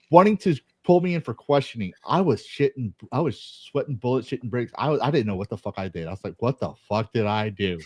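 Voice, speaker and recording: A man with an American accent speaks at a medium pitch and a very fast pace in an animated tone. His pitch swings very widely in a dry, close sound with no echo. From Texas. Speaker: army veteran, podcast guest. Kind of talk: casual chat.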